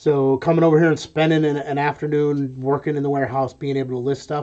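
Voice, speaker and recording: This man has a fairly high voice and an American accent. He talks at a very fast pace in a monotone, flat intonation. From New York. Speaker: online reseller and live streamer. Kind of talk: live stream chat while working. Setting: warehouse room, webcam live stream. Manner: casual, with many fillers.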